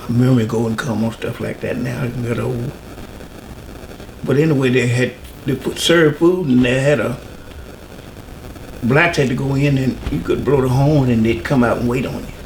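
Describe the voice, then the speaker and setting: Someone with a North Carolina accent speaks at a moderate pace, with ordinary pitch variation and long, frequent pauses, amid audible room echo and noticeable background noise. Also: man, medium pitch for a man. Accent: Southern US (North Carolina). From US South, rural North Carolina near Mooresville. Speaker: oral history interviewee. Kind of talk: interview. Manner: halting.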